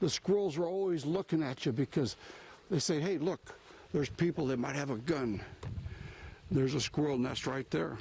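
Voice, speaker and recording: A man with an American accent talks at a moderate pace in a fairly high, somewhat breathy voice with ordinary pitch variation and long, frequent pauses. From US, same local area all his life. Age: 60s. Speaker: outdoor vlogger, veteran. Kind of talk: walking vlog narration. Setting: outdoors, walking in woods. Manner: casual, halting with fillers.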